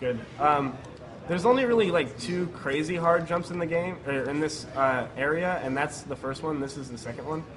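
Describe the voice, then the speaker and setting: There is noticeable background noise and audible room echo. A man with a fairly high pitch speaks at a moderate pace with ordinary pitch variation. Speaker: speedrunner. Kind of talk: live commentary. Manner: halting, stutters over words.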